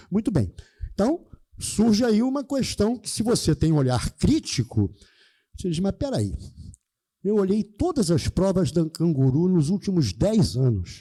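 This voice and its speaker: A man with a high pitch and a dark, mellow tone speaks at a fairly slow pace, with very wide pitch swings and long, frequent pauses, in a dry, close sound with no echo. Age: 70s. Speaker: math teacher. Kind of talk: lecture. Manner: animated.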